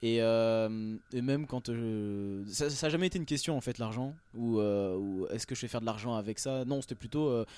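Here a man's tone is dark and mellow at a medium pitch. His moderate pace comes through in a very clean recording with a silent background. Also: ordinary pitch variation. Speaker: rapper. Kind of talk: casual radio interview. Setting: backstage at concert venue.

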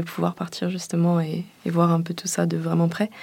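This woman's voice sits at a fairly low pitch. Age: 20s. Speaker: engineering student. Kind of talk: interview testimony.

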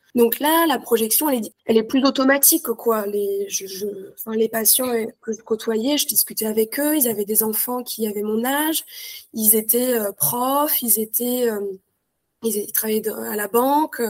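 A woman speaks with a fairly high pitch. Her pace is fairly slow, and her pitch varies in an ordinary way. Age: 20s. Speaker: nurse. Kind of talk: interview. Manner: hesitant.

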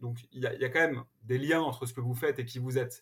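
Somewhat breathy, this voice goes at a fairly quick pace. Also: man. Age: 40s. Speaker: entrepreneur. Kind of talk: interview. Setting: remote recording from home. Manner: halting, many repetitions and fillers.

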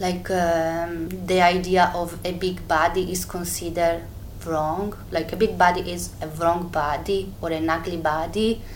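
A woman speaks at a very slow pace with a fairly low pitch and monotone, flat intonation. Audible room echo surrounds her voice. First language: Italian (speaking French). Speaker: fashion designer. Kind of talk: interview testimony. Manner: halting.

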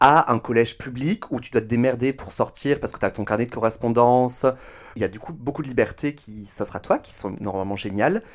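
Talking at a fairly quick pace, a man has an ordinary speaking voice at medium pitch with ordinary pitch variation and big swings in loudness. The recording is very clean, with a silent background. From France, Toulouse. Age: 30s. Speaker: drag performer. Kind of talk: casual interview.

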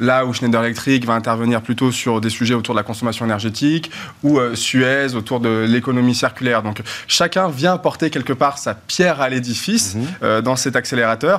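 A plain, everyday voice moves at a fairly quick pace. Its pitch variation is ordinary. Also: man, medium pitch for a man. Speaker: tech company partnerships director. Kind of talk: debate panel discussion.

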